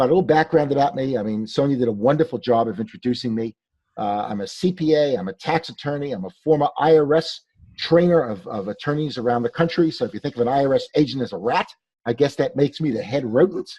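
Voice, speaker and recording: Very fast speech with lively intonation comes in a New York accent. The tone is dark and mellow, over a quiet background. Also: man, fairly high pitch for a man, dry, close sound with no echo. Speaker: tax attorney and CPA. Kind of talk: webinar presentation. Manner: animated.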